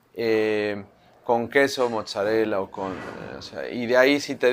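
The recording is very clean, with a silent background. A man speaks at a medium pitch in a Mexico City accent. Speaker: chef. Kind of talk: interview. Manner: halting; animated.

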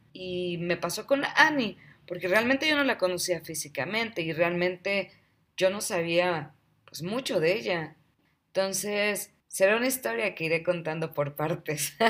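A woman's medium-pitched voice with lively intonation at a fairly slow pace, on a very clean recording with a silent background. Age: 30s. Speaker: podcast host. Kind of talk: personal storytelling monologue. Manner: warm, animated.

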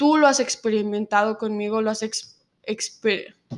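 On a very clean recording with a silent background, a woman with a Mexican accent speaks with ordinary pitch variation. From Mexico, Zacatecas. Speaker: recent immigrant. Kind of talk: casual chat.

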